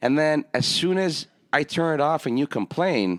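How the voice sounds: Moderate pace and normal pitch movement from a man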